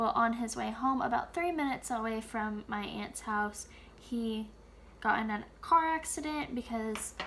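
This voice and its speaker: A woman with a fairly high voice talks quietly at a moderate pace over noticeable background noise. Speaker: planner content creator. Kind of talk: casual plan-with-me narration. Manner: quiet, subdued; hesitant, filler-heavy.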